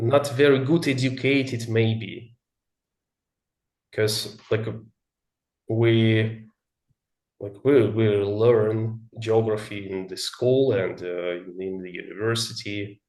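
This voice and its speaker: With a Russian accent, the speech moves at a very slow pace, broken by long, frequent pauses. The intonation stays fairly even, and audible room echo fills the space. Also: man, medium pitch for a man. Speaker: English learner. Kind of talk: casual chat. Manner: halting.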